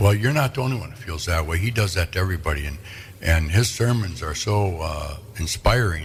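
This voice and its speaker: A man with an American accent talks at a fairly quick pace in a very deep, low, somewhat breathy voice with lively intonation and audible room echo. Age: 70s. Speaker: local radio host. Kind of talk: casual interview chat.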